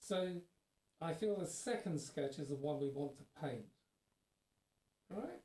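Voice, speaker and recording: Fairly high in pitch, a man's voice has a dark, mellow tone, lively intonation and a somewhat breathy quality. He goes at a fairly slow pace with long, frequent pauses. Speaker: art teacher. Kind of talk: tutorial. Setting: live stream. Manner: soft-spoken.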